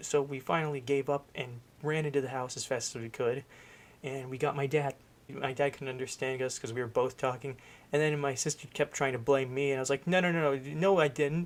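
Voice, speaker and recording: A man talks quietly at a fairly quick pace. His pitch is fairly high. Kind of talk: casual storytime talk to camera. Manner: quiet, hushed.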